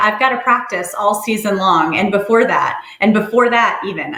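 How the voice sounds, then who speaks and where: With audible room echo, a woman speaks at a moderate pace, her fairly high voice keeping a fairly even intonation. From New York (Brooklyn, upstate New York). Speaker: social worker. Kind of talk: workshop presentation. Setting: webinar. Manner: frequent filler 'um'.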